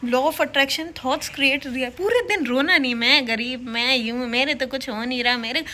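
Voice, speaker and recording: Raised and projected, a woman's voice comes through with an animated, bright, sharp tone at a high pitch. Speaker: government office employee and YouTuber. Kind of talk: casual motivational vlog talk.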